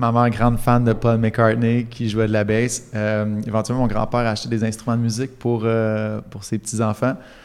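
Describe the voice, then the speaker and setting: Medium in pitch, a man speaks at a moderate pace with hardly any pauses and monotone, flat intonation. The recording is very clean with a silent background. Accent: Quebec. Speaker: musician. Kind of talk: casual interview chat.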